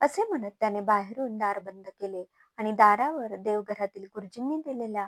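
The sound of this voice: Against a quiet background, an unforced reading voice moves with ordinary pitch variation.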